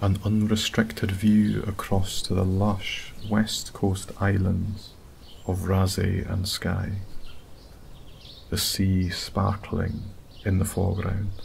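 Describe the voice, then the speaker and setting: A soft-spoken man with a Scottish accent, a very slow pace, monotone flat intonation, and long, frequent pauses. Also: fairly low pitch for a man. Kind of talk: sleep story. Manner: soft-spoken, slow.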